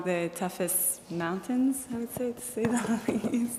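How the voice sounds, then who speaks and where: A woman speaks with a French accent. Noticeable background noise can be heard. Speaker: hiker. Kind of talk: slideshow presentation.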